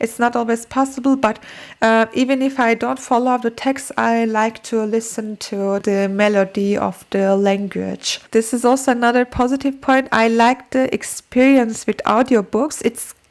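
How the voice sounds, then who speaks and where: Against noticeable background noise, a woman speaks in a fairly high pitch with fairly even intonation. Her loudness stays very even, and she leaves hardly any pauses. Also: moderate pace. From Turkey. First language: Turkish. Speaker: book and language-learning vlogger. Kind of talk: casual vlog talk. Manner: halting, with fillers and repetitions.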